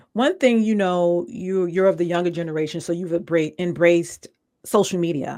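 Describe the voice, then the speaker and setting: Someone with an American accent speaks at a fairly quick pace. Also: woman. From New York. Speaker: podcast host. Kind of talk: casual interview.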